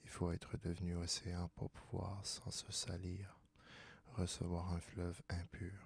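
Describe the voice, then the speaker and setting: Whispering and soft-spoken, a man talks very slowly in a calm, somewhat breathy tone. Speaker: ASMR reader. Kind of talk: soft-spoken ASMR philosophy reading. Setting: studio, close microphone. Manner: soft-spoken, whispery, calm.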